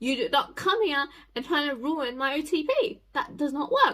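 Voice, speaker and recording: A woman speaks in a raised, projected voice with a bright, sharp tone, very wide pitch swings and a fairly quick pace. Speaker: YouTuber reviewing a TV show. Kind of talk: casual vlog review. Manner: animated.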